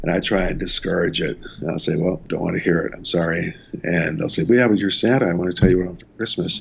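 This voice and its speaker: Very deep and low in pitch, a man speaks at a very fast pace with ordinary pitch variation. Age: 70s. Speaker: city councilman and Santa Claus performer. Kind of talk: interview. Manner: halting.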